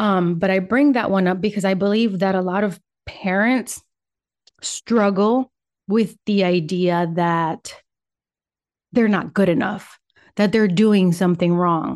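With a Spanish accent, a woman speaks at a medium pitch and a fairly slow pace, leaving long, frequent pauses, her intonation fairly even and her loudness very even against a quiet background. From Puerto Rico, raised in Michigan from age nine. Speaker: podcast host. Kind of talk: solo monologue podcast. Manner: casual with pauses and laughs.

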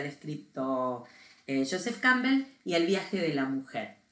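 A woman's voice comes through with noticeable noise in the background. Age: 50s. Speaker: podcast co-host. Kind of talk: casual chat.

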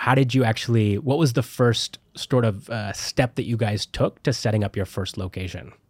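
A man with a Canadian accent, somewhat breathy and medium-pitched, with ordinary pitch variation and hardly any pauses, on a very clean recording with a silent background and a dry, close sound with no echo. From Canada. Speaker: podcast host. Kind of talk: podcast interview, scripted intro.

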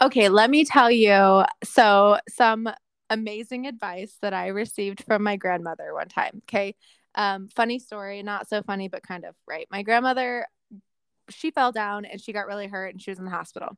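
In a very clean recording with a silent background and a dry, close sound with no echo, a woman with an animated tone speaks at medium pitch and a moderate pace, with ordinary pitch variation and big swings in loudness. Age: 30s. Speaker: podcast co-host. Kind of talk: casual chat. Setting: at home in living room.

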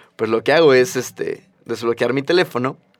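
A man's ordinary speaking voice, medium in pitch, at a moderate pace. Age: 20s. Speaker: podcast co-host, architect. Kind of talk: casual chat. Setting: studio.

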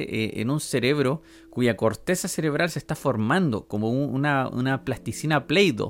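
A man speaks in a Chilean accent at medium pitch. His pace is moderate. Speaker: podcast host. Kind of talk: casual monologue. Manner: hesitant, many fillers.

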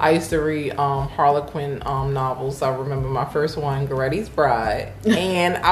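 Noticeable background noise sits under the recording. A woman talks at a moderate pace. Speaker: co-host. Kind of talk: casual faith discussion.

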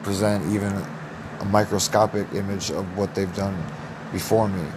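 A man with an American accent speaks in a fairly low, flat monotone, with noticeable background noise and audible room echo. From US Midwest (Iowa). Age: 20s. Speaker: podcast host. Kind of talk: solo monologue.

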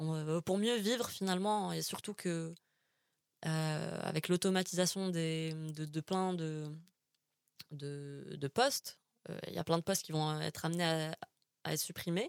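A woman with a fairly low pitch and ordinary pitch variation speaks at a fairly slow pace with long, frequent pauses, recorded dry and close with no echo. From Algeria, Algiers. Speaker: communication graduate. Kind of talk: casual interview. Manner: halting, many hesitations and repeated words.

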